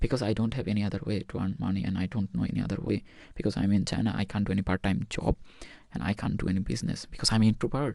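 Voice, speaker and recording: A man with a non-native accent talks at a very fast pace, his fairly low pitch carrying lively intonation. His tone is dark and mellow, with vocal fry. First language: not English. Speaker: medical student vlogger. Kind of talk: personal vlog monologue. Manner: halting.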